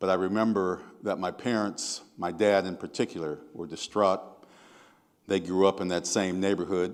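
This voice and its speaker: In a very clean recording with a silent background, a man with an American accent talks at a moderate pace, his pitch very deep and low and his intonation fairly even. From Seattle, US Pacific Northwest. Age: 70s. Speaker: activist and diversity consultant. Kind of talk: keynote speech.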